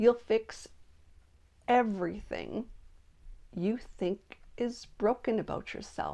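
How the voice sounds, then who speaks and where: A woman speaks at a very slow pace in a fairly high pitch, her tone dark and mellow with ordinary pitch variation. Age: 60s. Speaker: retiree. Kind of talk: reflective talk to camera.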